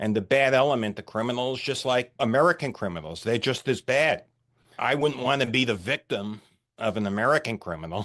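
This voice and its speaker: A man speaks at a fairly quick pace with a medium pitch. He has a plain, everyday voice against a quiet background. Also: ordinary pitch variation. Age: 60s. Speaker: retired CEO and ordained minister. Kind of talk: podcast interview.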